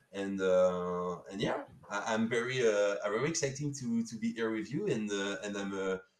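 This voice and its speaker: A man at a moderate pace, fairly low in pitch, with a French accent and ordinary pitch variation. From France. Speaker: sponsor. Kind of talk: live stream interview. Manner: halting, many fillers.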